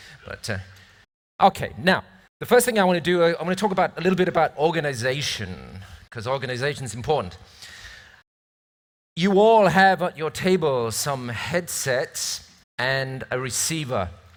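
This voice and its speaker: Speaking with a British accent, a man with a fairly high pitch moves through very wide pitch swings at a moderate pace, pausing long and often, in a very clean recording with a silent background. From northern England (English-Scottish border). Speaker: event presenter. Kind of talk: event presentation. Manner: casual, joking.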